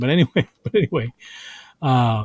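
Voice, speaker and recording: In a very clean recording with a silent background, a man with an American accent speaks at medium pitch. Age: 60s. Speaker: comedian. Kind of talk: casual chat. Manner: halting.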